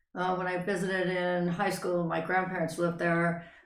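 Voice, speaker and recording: A woman with an American accent and a medium pitch speaks with audible room echo. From Northern California, then Idaho. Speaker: interview guest. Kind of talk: life story interview.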